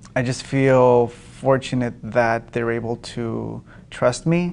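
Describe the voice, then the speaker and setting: A man with a Spanish accent speaks at a medium pitch against a quiet background. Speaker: poet and writing teacher. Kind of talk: public interview. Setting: public event at a university. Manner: halting, many fillers and repeats.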